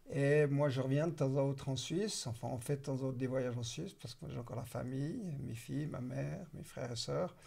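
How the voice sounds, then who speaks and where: A man's dark, mellow, somewhat breathy voice at medium pitch, fairly quick with hardly any pauses and ordinary pitch variation. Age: 60s. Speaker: real estate entrepreneur. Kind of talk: casual interview.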